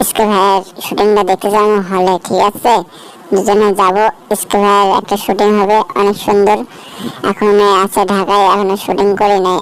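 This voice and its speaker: Over light background noise, a female-sounding cartoonish character voice speaks at a moderate pace with a medium pitch and monotone, flat intonation. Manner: excited, repetitive.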